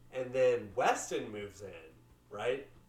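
A man speaks with music in the background. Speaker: podcast co-host. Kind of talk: casual chat over beers.

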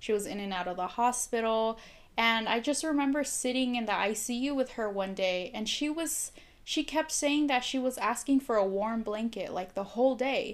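A woman with a Spanish accent speaks at a moderate pace in a fairly high pitch with ordinary variation. The recording is very clean, with a silent background. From Mexico. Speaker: nurse, guest. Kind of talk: casual chat, interview.

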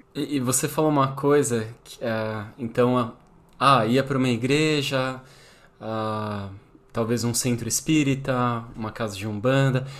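A man with a normal speaking voice, medium pitch, fairly even intonation, fairly slow pace and big swings in loudness. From São Paulo, Brazil. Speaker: podcast host. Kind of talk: casual interview conversation.

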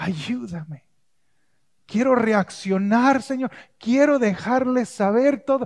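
A man's extremely high pitch with ordinary variation, at a very slow pace with long, frequent pauses. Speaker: pastor. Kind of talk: sermon. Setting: church with congregation. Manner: calm, never raises voice.

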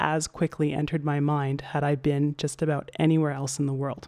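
With a Canadian accent, a woman speaks at a moderate pace in a very deep, low pitch against a quiet background. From Canada. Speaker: podcast host. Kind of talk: casual book discussion.

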